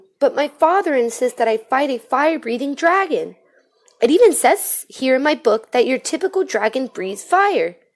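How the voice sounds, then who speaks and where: At a moderate pace, a squeaky put-on character voice swings very widely in pitch. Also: woman, high pitch for a woman. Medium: read story. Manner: nervous, stammering.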